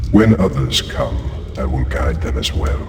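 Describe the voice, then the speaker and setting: A man puts on a cartoonish character voice, very deep and low in pitch, speaking at a moderate pace with a clear echo. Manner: solemn, measured, detached.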